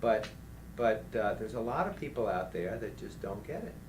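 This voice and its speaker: A man at a moderate pace, with audible room echo. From New Orleans, Louisiana. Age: 50s. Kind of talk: interview conversation. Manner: animated.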